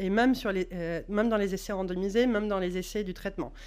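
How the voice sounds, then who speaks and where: Audible room echo hangs around the voice of a woman as she talks. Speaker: epidemiologist. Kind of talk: conference talk. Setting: conference with audience. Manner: halting, many fillers.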